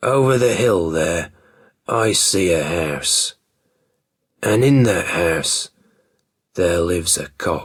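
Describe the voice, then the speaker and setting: In a put-on character voice that is gruff and raspy, the speaker moves at a very slow pace with long, frequent pauses. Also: man, very deep, low pitch for a man. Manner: scheming, thoughtful.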